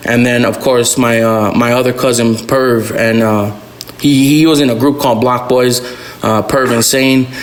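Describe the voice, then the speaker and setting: A man speaks at a medium pitch and a moderate pace, with monotone, flat intonation and very even loudness. Audible room echo and noticeable background noise come through. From Albuquerque, New Mexico (South Valley). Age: 20s. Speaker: rapper and music producer. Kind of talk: podcast interview. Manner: halting, many fillers.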